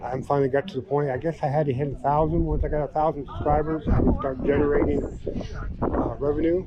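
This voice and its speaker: Talking very fast with fairly even intonation, a man with a fairly high voice is heard over noticeable background noise. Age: 60s. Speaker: car show video host. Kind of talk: casual interview at car show. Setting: outdoors at car show.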